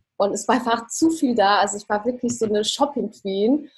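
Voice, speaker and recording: Somewhat breathy, a woman talks at a moderate pace in a fairly high pitch with ordinary pitch variation. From Germany, Ruhr area (Dortmund). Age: 20s. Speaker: architect and minimalism coach. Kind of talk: interview.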